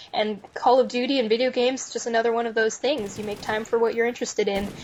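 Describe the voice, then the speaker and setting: With an American accent, a woman talks at a very fast pace in a fairly high pitch with fairly even intonation, and noticeable background noise sits behind her. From US West, Reno, Nevada. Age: 20s. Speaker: university student and gamer. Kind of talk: casual interview.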